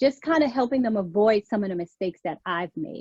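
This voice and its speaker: Against a quiet background with a dry, close sound and no echo, a woman with a slight New York accent speaks at a fairly high pitch with lively intonation. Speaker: image consultant and career coach. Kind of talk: interview.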